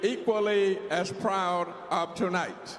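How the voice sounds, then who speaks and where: A man's high pitch, very slow pace and fairly even intonation, with noticeable background noise and audible room echo. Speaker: war veteran, convention delegate. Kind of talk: formal convention speech. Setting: convention hall with audience.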